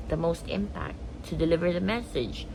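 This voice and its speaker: Room echo is audible as a woman talks at a moderate pace. There is noticeable background noise too. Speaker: daily vlogger. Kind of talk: casual vlog monologue. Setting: bedroom, home video. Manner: halting, pausing to find words.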